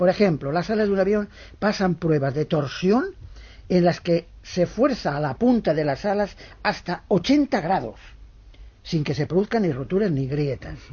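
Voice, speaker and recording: This man's pitch is high and his intonation lively. He talks at a fairly slow pace. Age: old. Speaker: retired pilot, aviation psychologist. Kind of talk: interview.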